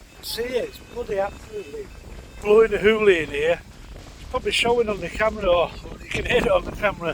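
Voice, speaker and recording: The speech races along at a very fast pace, with big swings in loudness. Noticeable background noise sits behind it. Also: man, high pitch for a man, ordinary pitch variation. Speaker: fishing vlogger. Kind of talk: casual vlog narration. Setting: outdoors on a lakeside bank. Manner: quiet.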